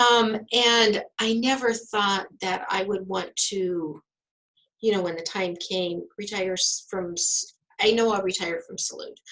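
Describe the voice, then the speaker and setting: An ordinary speaking voice from a woman, medium in pitch, at a fairly slow pace with fairly even intonation. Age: 60s. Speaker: health center director. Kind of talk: interview.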